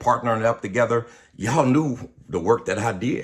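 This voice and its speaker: A man talks at a medium pitch with ordinary pitch variation and a somewhat breathy voice. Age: 60s. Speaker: pastor. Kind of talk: video monologue. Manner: casual, conversational.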